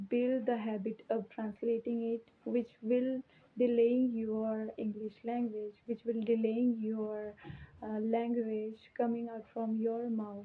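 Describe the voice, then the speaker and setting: In an Indian accent, the speaker talks at a very slow pace with monotone, flat intonation. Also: woman. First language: Hindi. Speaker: English teacher. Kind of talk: tutorial. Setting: alone in her room.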